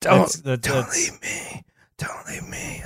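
A man's raspy, whispering, put-on character voice. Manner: whispering, ASMR-like.

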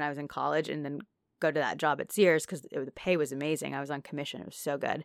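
A woman speaks very fast with an American accent at a very deep, low pitch. The recording is very clean with a silent background, dry and close with no echo. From Naperville, Illinois. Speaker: podcast co-host. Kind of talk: casual chat.

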